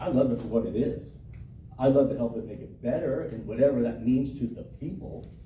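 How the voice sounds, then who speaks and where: With noticeable background noise and audible room echo, a man with an American accent speaks at medium pitch with ordinary pitch variation. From Florida. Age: 50s. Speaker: local political candidate. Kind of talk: candidate Q&A at public meeting. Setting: meeting room with audience. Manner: casual, halting with repetitions.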